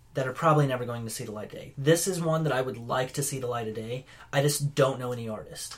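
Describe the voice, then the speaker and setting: A man with a medium pitch talks very fast, his pitch varying in an ordinary way while his loudness swings widely. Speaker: podcast co-host. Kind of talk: casual chat.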